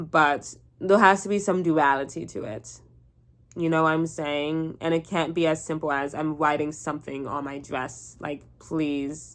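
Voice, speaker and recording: A woman with a Southern Californian accent talks in a very deep, low pitch at a fairly slow pace. Her intonation is fairly even, and the recording is very clean with a silent background. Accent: Valley Girl. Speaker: vlogger. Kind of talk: casual chat. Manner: casual, filler-heavy speech.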